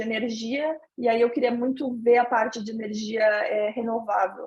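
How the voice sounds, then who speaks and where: A woman speaks with a southern Brazilian accent. Her voice is high-pitched and her intonation fairly even. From southern Brazil, Santa Catarina (Brusque). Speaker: interviewee, finance professional living abroad. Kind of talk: interview.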